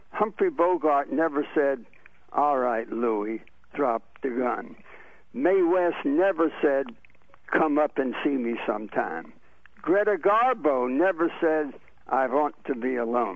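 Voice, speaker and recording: A man's fairly high voice at a very slow pace, lively in intonation, with a dry sound and no echo. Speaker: radio talk show host. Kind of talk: tribute speech at a radio roast. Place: studio.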